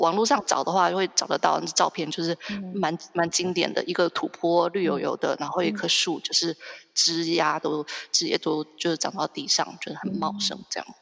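Speaking at a fairly quick pace, a woman with a Taiwanese accent has a fairly low pitch. Her pitch variation is ordinary. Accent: Taiwanese Mandarin. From Taiwan, Hsinchu. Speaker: copywriter, Ireland culture enthusiast. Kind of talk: casual interview chat. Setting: long-distance online call. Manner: hesitant, many fillers.

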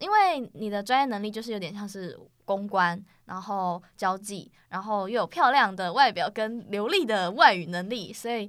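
In a very clean recording with a silent background, a woman uses an ordinary speaking voice at a medium pitch and moderate pace, with ordinary pitch variation. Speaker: college student podcast host. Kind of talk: casual chat.

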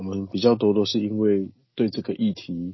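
An ordinary speaking voice: a man with a fairly low pitch, fairly slow pace and fairly even intonation. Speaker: nonprofit director, community worker. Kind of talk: interview, casual talk.

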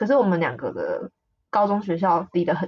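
Somewhat breathy and at a medium pitch, a woman speaks at a moderate pace with a dry, close sound and no echo. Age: 20s. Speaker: podcast co-host. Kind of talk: casual chat. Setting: remote recording.

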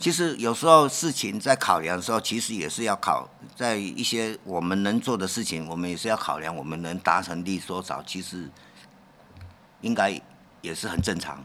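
This man has an ordinary speaking voice, fairly low in pitch, at a moderate pace. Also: lively intonation. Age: 60s. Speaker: leather craftsman. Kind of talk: interview.

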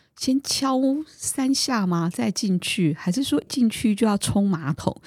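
A woman with a dark, mellow tone. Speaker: podcast host. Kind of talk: casual chat.

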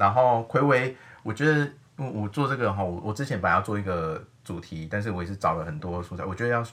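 A man talks at a very fast pace, his fairly low voice carrying lively intonation. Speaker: podcast host. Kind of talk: casual chat.

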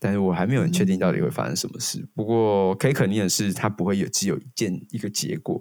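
Speaking fairly quickly, a man uses a fairly low pitch with vocal fry. The recording is very clean, with a silent background. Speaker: band leader and songwriter. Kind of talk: casual interview.

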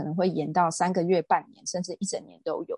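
A somewhat breathy woman's voice at medium pitch, dry and close with no echo, against a quiet background. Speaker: real estate agent and lecturer. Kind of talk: interview.

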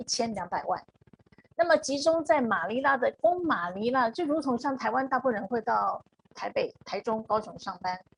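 At a moderate pace, a woman talks in a high pitch with very wide pitch swings, and the sound is dry and close with no echo. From Taiwan. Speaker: HR consultant. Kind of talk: live-stream interview.

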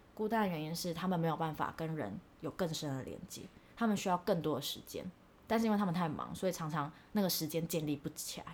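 With a Taiwanese accent, a woman talks at a very fast pace and a fairly low pitch, with ordinary pitch variation. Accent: Taiwanese Mandarin. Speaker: podcast co-host, former overseas student. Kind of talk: casual chat. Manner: animated.

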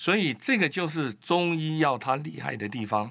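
Fairly slow but with lively intonation, a man talks in a bright, sharp tone. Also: very clean recording, silent background. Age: 60s. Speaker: immunology professor and doctor. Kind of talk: interview. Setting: studio.

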